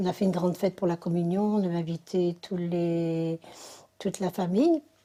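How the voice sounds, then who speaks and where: With a dark, mellow tone, a woman speaks at a moderate pace in a fairly low, monotone, flat voice. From northern France, Dunkirk area. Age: 60s. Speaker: religious convert. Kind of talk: testimony. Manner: halting, many fillers.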